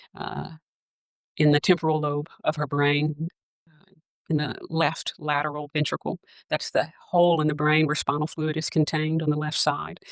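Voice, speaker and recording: A woman with a Southern US accent speaks at a moderate pace in a very deep, low pitch. Her intonation is monotone and flat, with big swings in loudness. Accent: noticeable Southern US. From US South, Arkansas. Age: 40s. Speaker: nurse practitioner and podcast host. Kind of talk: personal testimony. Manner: halting, with fillers.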